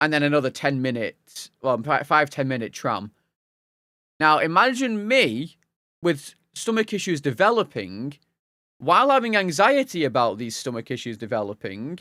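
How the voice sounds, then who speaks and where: In a Lancashire accent, a man with a fairly high voice speaks at a moderate pace, his pitch swinging very widely, on a very clean recording with a silent background. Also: dry, close sound with no echo. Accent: Wigan. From northern England, Wigan. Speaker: video game streamer. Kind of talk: casual chat. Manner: halting, many false starts.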